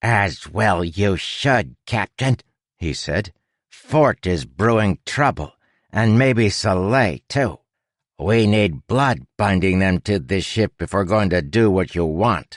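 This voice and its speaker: A man puts on a growling character voice, fairly low in pitch. He speaks at a fairly slow pace with lively intonation. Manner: creepy, sinister.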